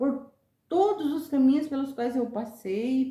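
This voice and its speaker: A woman's voice comes through with a dark, mellow tone. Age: 60s. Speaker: retired teacher. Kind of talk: interview.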